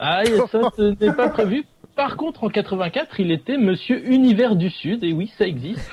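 A man speaks at a fairly slow pace with a high pitch and lively intonation over noticeable background noise. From Dunkirk, northern France. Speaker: film segment presenter. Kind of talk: casual chat.

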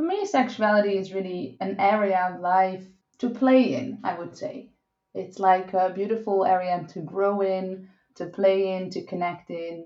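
Audible room echo carries the voice of a woman speaking at a fairly slow pace with a Dutch accent. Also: medium pitch for a woman, ordinary pitch variation. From Netherlands. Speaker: sex and relationship coach. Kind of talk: interview.

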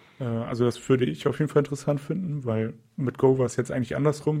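At a very fast pace, a man talks in a medium pitch, somewhat breathy and dark and mellow in tone, with fairly even intonation. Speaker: software developer podcast co-host. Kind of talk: casual tech chat.

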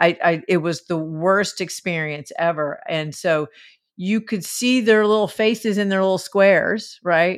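Speaking with a Southern US accent, a woman talks at a fairly slow pace with a medium pitch and ordinary pitch variation. The recording is very clean, with a silent background. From US South. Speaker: stand-up comedian. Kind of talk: casual chat.

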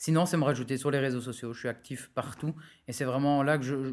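A man races along at a very fast pace, his medium-pitched voice locked in a monotone, flat intonation. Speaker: digital marketing entrepreneur. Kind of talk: interview conversation.

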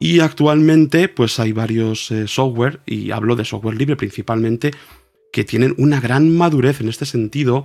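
A man with a medium pitch speaks at a moderate pace. He has a normal speaking voice with ordinary pitch variation. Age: 40s. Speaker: cathedral organist and music teacher. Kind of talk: casual interview. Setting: video call.

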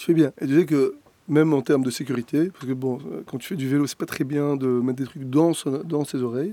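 The voice has a dark, mellow tone and fairly even intonation, moving at a fairly quick pace with big swings in loudness. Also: man, fairly high pitch for a man. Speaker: podcast co-host. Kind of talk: interview.

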